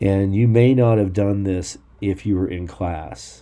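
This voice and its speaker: A man with an ordinary speaking voice talks fairly slowly at a fairly low pitch, with ordinary pitch variation. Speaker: programming teacher. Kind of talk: tutorial.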